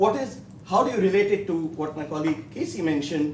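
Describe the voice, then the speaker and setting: With an Indian accent, a man speaks at a moderate pace and a fairly high pitch. His pitch varies in an ordinary way, and audible room echo surrounds the voice. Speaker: professor. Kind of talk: panel discussion. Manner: halting, many fillers.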